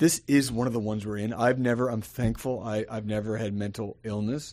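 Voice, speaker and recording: Fairly even intonation and a medium pitch in a man's unremarkable speaking voice. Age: 40s. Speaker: pastor. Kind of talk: casual chat.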